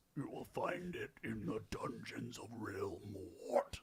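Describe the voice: A man uses a put-on character voice that sounds guttural. He speaks at a fairly slow pace.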